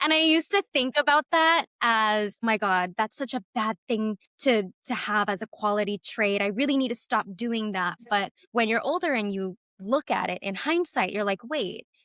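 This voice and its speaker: With a Californian accent, a woman with a fairly high pitch and a bright, sharp tone speaks at a moderate pace with lively intonation and hardly any pauses, in a very clean recording with a silent background and a dry, close sound with no echo. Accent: California American English. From California (Fresno), Vietnamese immigrant family. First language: Vietnamese. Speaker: startup founder. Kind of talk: interview.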